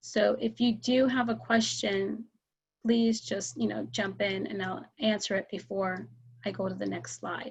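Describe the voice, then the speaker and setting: A woman with vocal fry speaks fairly slowly at medium pitch, her voice moving in very wide pitch swings. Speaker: emergency preparedness educator. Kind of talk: presentation with slides.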